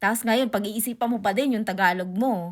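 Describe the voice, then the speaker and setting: A woman talks at a fairly quick pace and fairly high pitch. Her intonation stays fairly even. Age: 30s. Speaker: vlogger. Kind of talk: casual vlog monologue. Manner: halting.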